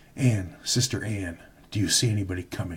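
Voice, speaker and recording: Putting on a character voice, a man sounds raspy at a fairly low pitch and a fairly quick pace. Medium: read story.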